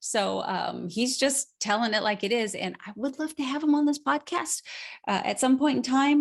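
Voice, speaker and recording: A woman is speaking. Her intonation is lively. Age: 40s. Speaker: nutrition coach and podcast host. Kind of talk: solo podcast talk. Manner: mumbling; casual, meandering.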